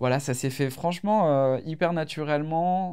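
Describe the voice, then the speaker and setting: This man has a dark, mellow tone and speaks at a moderate pace with ordinary pitch variation. The recording is very clean with a silent background. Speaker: singer. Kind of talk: casual interview. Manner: hesitant, many fillers.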